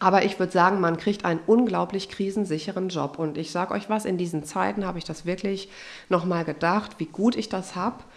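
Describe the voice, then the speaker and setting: A woman talks at a fairly quick pace with a medium pitch. Her tone is animated. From Germany, Westphalia (Unna). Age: 30s. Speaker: pastor, church recruitment officer. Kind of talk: casual podcast interview.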